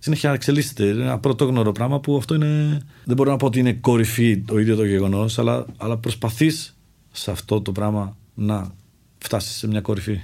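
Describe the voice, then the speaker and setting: Moving at a fairly quick pace, a man speaks at medium pitch in a dark, mellow tone with ordinary pitch variation. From Czech Republic, Greek father and Czech mother. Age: 50s. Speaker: mountaineer. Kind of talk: interview, personal story.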